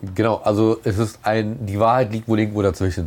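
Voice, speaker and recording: A man's fairly low voice at a very fast pace. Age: 30s. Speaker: interviewee. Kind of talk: interview. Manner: halting.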